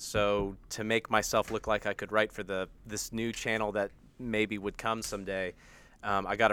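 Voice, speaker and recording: A man with an American accent speaks at a moderate pace in a flat, monotone delivery, his tone bright and sharp, on a very clean recording with a silent background. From United States. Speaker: video writer guest. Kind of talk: casual chat.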